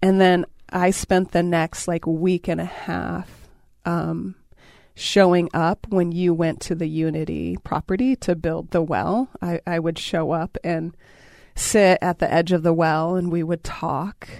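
A woman with an unremarkable speaking voice and fairly low pitch talks at a fairly slow pace in a very clean recording with a silent background and a dry, close sound with no echo. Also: fairly even intonation. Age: 40s. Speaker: radio show host. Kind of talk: intimate casual conversation. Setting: radio studio.

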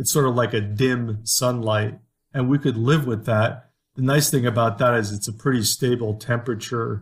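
A somewhat breathy man talks at a moderate pace and medium pitch with fairly even intonation, recorded very cleanly against a silent background. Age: 60s. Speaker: biology professor and dean. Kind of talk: interview. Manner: halting.

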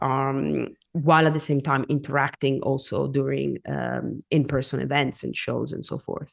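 Hardly pausing at all, a woman speaks at a moderate pace. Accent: non-native. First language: not English. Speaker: coffee consultant and educator. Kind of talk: interview. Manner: halting, repeats words.

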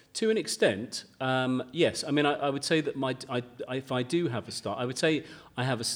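A man at a medium pitch and moderate pace, with a southern English accent. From Kent, southern England. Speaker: garden designer and broadcaster. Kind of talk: live podcast interview. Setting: stage with audience. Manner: halting.

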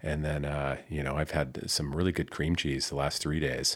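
A man with a very deep, low pitch and vocal fry at a fairly quick pace. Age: 50s. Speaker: podcast co-host. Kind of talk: casual chat. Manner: animated.

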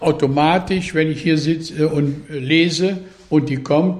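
A man speaks with a somewhat breathy voice at a fairly high pitch. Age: 80s+. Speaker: farmer, local resident. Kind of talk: interview.

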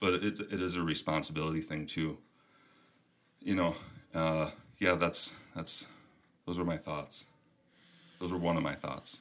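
With a Minnesotan accent, a man with a very deep, low voice speaks at a moderate pace, leaving long, frequent pauses. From US Minnesota. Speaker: podcast host. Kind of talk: casual chat.

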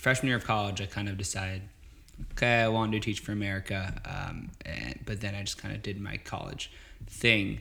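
In a bright, sharp tone, a man speaks fairly quickly at a fairly low pitch. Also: fairly even intonation. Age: 20s. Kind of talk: casual interview.

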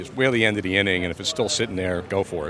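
Noticeable background noise accompanies a man with an American accent whose fairly low voice shows ordinary pitch variation. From Pennsylvania. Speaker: baseball fan, father. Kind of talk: casual interview. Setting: at the ballpark.

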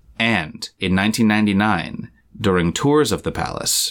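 A man with an American accent and a normal speaking voice, fairly low in pitch, lively in intonation, at a moderate pace, in a very clean recording with a silent background. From US, part of childhood in England. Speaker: podcast co-host. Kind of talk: storytelling.

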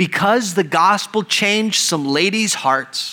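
Speaking with an American accent, a man talks at a fairly slow pace in a high pitch with ordinary pitch variation. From Texas, El Paso. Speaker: pastor. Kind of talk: sermon.

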